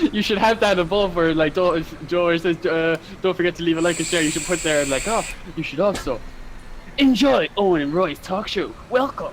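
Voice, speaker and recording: Speaking with a Cork accent, a man with a high pitch and an animated tone talks at a moderate pace with ordinary pitch variation over noticeable background noise. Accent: Cork Irish. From Ireland, Cork. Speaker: farmer. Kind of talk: casual chat.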